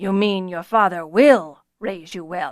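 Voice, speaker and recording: In a put-on character voice, a woman speaks at a fairly slow pace with medium pitch and ordinary pitch variation. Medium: read story.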